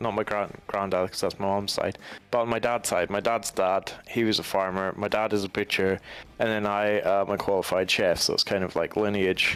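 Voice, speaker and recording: A man with a Highland Scottish accent speaks in a fairly low pitch with monotone, flat intonation. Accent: Highland Scottish, sometimes taken for Irish. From Scottish Highlands. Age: 20s. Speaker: gaming streamer. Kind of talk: casual chat. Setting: live stream.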